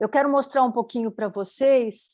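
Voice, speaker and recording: Against a quiet background, a dark, mellow voice moves at a moderate pace with ordinary pitch variation. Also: woman. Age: 60s. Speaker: designer and documentary maker. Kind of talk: panel talk, live stream presentation.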